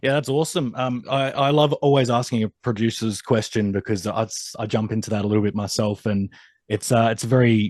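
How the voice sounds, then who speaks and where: In an Australian accent, a man speaks at a fairly quick pace and medium pitch. His pitch variation is ordinary, and the background is quiet. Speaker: music interviewer. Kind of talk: interview.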